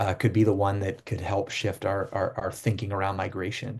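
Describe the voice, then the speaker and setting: A man speaks in an American accent, somewhat breathy. The background is quiet. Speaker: Jesuit priest, border ministry director. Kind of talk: webinar Q&A answer. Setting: video call. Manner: fast.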